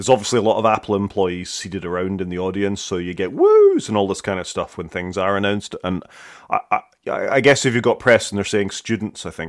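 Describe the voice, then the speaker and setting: In a Scottish accent, a man speaks very fast in a husky, fairly low voice with fairly even intonation, on a very clean recording with a silent background. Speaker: tech podcast co-host. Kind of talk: casual chat.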